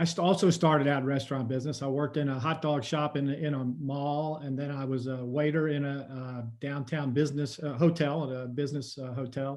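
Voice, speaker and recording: A man in a normal speaking voice talks at a fairly quick pace with hardly any pauses, a fairly high pitch and fairly even intonation. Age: 60s. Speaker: tourism marketing executive. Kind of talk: webinar panel discussion. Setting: video call.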